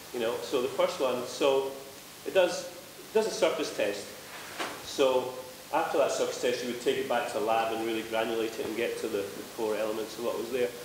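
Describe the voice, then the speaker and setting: A man talks amid noticeable background noise, with audible room echo around his voice. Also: fairly quick pace. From Scotland. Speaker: panelist. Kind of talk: panel discussion. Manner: loud; casual, swearing. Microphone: no microphone at first.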